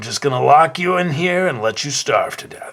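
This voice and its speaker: A man's put-on character voice, high in pitch, at a moderate pace with ordinary pitch variation. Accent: New York. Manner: menacing.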